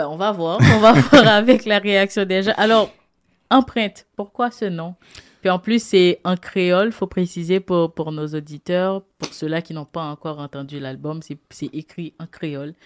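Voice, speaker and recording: The speech moves at a fairly slow pace in an unremarkable speaking voice, with lively intonation and big swings in loudness. The sound is dry and close, with no echo. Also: woman, medium pitch for a woman, very clean recording, silent background. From Haiti. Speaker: radio host. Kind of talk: radio interview.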